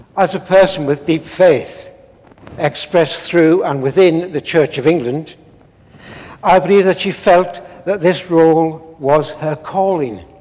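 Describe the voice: A man talks at a slow pace. His pitch is fairly high, with ordinary pitch variation. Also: slightly mellow tone.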